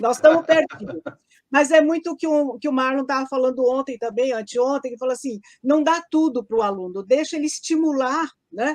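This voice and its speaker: Here a woman speaks at a moderate pace in a high voice. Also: ordinary pitch variation. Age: 70s. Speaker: teacher. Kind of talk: casual chat.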